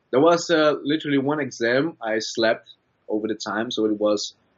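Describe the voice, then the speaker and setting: Medium-pitched male speech with a Brazilian accent, ordinary pitch variation and a moderate pace. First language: Brazilian Portuguese. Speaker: student. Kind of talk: interview. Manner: halting.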